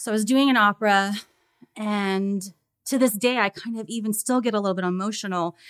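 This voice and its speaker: Talking at a fairly quick pace, a woman uses an animated tone at medium pitch. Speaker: music teacher and opera singer. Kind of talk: casual interview chat. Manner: animated, laughs often.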